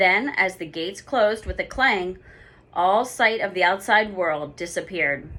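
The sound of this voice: Pitch variation stays ordinary in an unforced reading voice.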